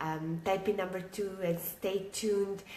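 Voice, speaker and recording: A woman's medium-pitched, monotone voice with flat intonation, audible room echo and noticeable background noise. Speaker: online business coach. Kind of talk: live stream talk to viewers. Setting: at home, live video. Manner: quiet, keeping voice down; many filler words, halting.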